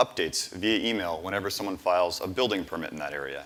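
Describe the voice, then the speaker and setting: A man's tone is bright and sharp, with lively intonation. He keeps a fairly quick pace. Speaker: startup founder pitching. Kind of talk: pitch presentation. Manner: fast.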